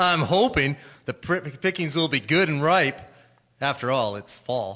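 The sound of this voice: Using a put-on character voice, a man speaks slowly at a fairly high pitch, his tone bright and sharp and his intonation lively.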